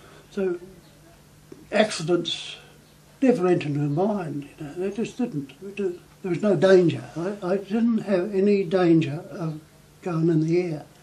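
A man with a New Zealand accent speaks at a fairly slow pace in a high voice, with ordinary pitch variation and long, frequent pauses. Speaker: war veteran. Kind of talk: interview answer. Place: home room.

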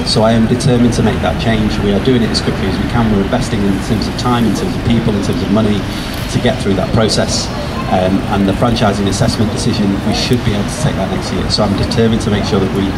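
Loud background noise fills the recording. A man talks at a very fast pace. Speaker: politician addressing a rally. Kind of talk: rally speech. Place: street. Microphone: handheld.

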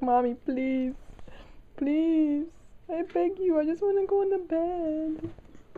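In a whiny, high-pitched put-on character voice, the speaker goes at a very slow pace over light background noise. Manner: whining, begging.

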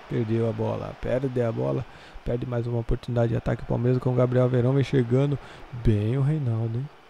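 Fairly quickly and with monotone, flat intonation, a man talks. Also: medium pitch for a man. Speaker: gaming channel commentator. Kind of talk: live sports commentary over a Football Manager match. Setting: recorded voiceover over game footage. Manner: conversational, filler-heavy, with a tacked-on 'né?'.

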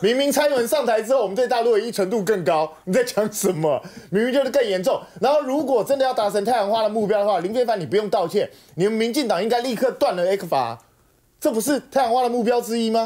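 A man speaks very fast at an extremely high pitch, with a dark, mellow tone. The background is quiet. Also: ordinary pitch variation. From Taiwan. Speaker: political commentator; talk show guest commentator. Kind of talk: talk show panel discussion. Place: studio. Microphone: lapel.

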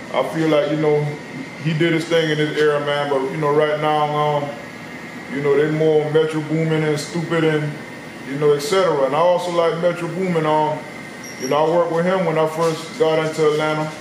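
With noticeable background noise and audible room echo, a man speaks at a fairly quick pace in a fairly high, monotone voice with flat intonation. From South Carolina. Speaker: rapper. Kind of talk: interview. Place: shop. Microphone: camera far.

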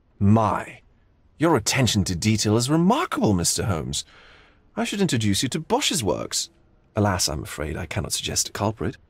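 A man's put-on character voice, fairly low in pitch with very wide pitch swings, a slightly husky edge and a moderate pace, on a very clean recording with a silent background

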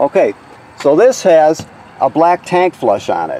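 A man's voice comes across dry, with no echo. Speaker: trailer walkthrough guide. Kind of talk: tutorial. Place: street. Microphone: phone near.

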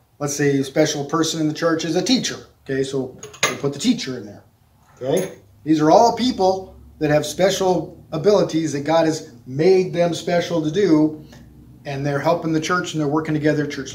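A man talks with ordinary pitch variation at a moderate pace, light background noise behind him. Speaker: children's church teacher. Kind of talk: object lesson for children. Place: classroom.

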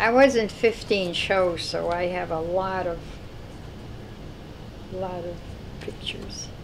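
Long, frequent pauses break up this woman's very slow speech. Her pitch is medium with ordinary variation, over noticeable background noise. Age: 80s+. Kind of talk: interview answer. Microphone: lapel.

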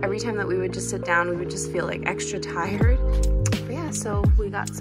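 A woman's voice over loud music in the background. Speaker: travel vlogger. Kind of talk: casual vlog chat. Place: home room. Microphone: phone near.

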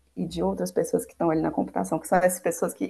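A woman is speaking. She has a Brazilian accent. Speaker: machine learning engineer; panelist. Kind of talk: presentation; panel talk. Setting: video call. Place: home room. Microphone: earbuds.

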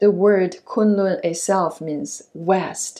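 Very slow speech with fairly even intonation over a quiet background. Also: woman. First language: not English. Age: 60s. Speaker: yoga and qigong instructor. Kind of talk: self-care tutorial instruction. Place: home room.

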